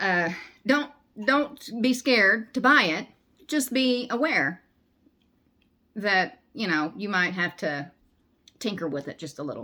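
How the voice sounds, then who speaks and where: Bright and sharp in tone with a Southern US accent, the speaker goes at a fairly slow pace, pitch swinging very widely and pauses long and frequent. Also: woman, medium pitch for a woman. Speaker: crochet vlogger. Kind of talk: casual chat. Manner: halting.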